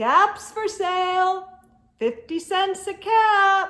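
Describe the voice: In a put-on character voice, a woman speaks extremely high with a bright, sharp tone. Her intonation is lively and her pace very slow.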